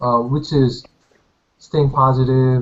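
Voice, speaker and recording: A man with a Korean accent talks at a fairly slow pace in a medium pitch. His delivery is monotone and flat, and his voice is somewhat breathy. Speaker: competitive shooter and engineering student. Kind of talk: casual chat. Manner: halting.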